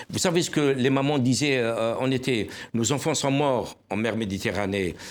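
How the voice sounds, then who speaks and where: A normal speaking voice from a man at medium pitch, fairly slow pace and ordinary pitch variation. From Algeria. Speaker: newspaper publisher and journalist. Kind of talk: panel discussion. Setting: TV studio.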